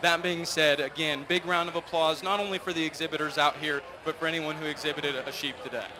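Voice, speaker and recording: Speech rushes at a very fast pace with hardly any pauses and fairly even intonation over noticeable background noise. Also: man, fairly high pitch for a man. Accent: American. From California. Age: 20s. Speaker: livestock show judge. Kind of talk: speech to show audience.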